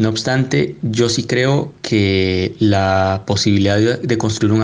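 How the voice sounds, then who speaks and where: The man's fairly slow speech is accompanied by noticeable background noise. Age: young. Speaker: economist and parliamentary adviser. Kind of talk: panel debate.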